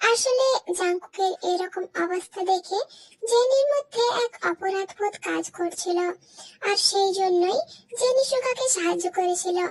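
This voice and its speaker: A woman's put-on character voice, squeaky and extremely high, at a moderate pace, with a dry, close sound and no echo. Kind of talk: melodramatic fan-fiction narration. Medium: fan dub.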